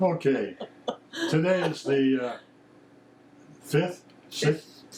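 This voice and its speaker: Through noticeable background noise, a man speaks very slowly at a fairly high pitch with ordinary pitch variation. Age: 80s+. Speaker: retired psychotherapist. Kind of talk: casual home video message to family.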